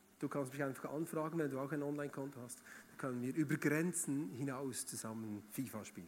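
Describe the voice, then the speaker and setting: Fairly high for a man, his voice shows big swings in loudness, ordinary pitch variation and hardly any pauses. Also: fairly quick pace. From Switzerland, Bern region. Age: 30s. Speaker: guest preacher. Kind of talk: sermon. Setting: church stage with audience. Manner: animated.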